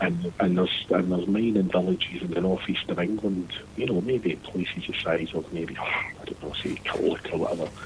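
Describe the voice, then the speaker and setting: In a Scottish accent, a man with a very deep, low pitch talks with fairly even intonation and hardly any pauses. Noticeable background noise runs underneath. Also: fairly quick pace. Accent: Scottish, Lanarkshire. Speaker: former seafarer. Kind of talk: casual chat.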